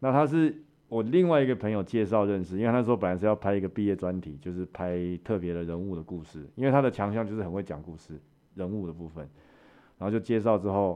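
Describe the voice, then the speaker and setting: Talking at a very fast pace, a man with a fairly low pitch swings widely in loudness. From Taiwan. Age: 40s. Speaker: MMA fighter and promoter. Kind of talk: interview, personal storytelling.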